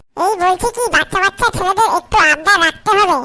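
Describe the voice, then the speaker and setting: A woman puts on a character voice that is squeaky yet gruff, extremely high in pitch, delivered at a fairly quick pace with very even loudness. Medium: fan dub. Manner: gruff, foul-mouthed.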